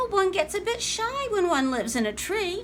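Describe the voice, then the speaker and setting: In a squeaky put-on character voice at an extremely high pitch, a woman speaks over clear background noise. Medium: read story. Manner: warm, whimsical.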